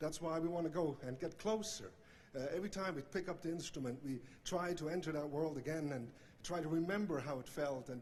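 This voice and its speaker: Talking at a fairly quick pace, a man with a Swiss accent has a fairly high pitch and ordinary pitch variation. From Switzerland. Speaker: banjo player, hall of fame inductee. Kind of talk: acceptance speech. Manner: halting, many fillers.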